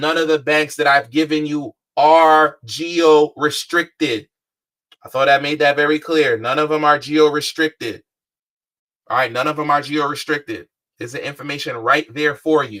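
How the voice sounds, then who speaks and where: A woman speaks with a very deep, low pitch. Her intonation is fairly even, in an American accent. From Philadelphia, US. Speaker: credit and funding coach. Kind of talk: live-streamed class. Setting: livestream. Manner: casual, repetitive; fast.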